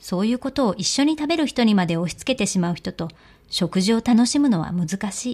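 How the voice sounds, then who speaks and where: Somewhat breathy and fairly quick, the voice makes very wide pitch swings over a very clean recording with a silent background. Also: woman, fairly high pitch for a woman. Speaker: audiobook narrator. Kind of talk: reading aloud fiction.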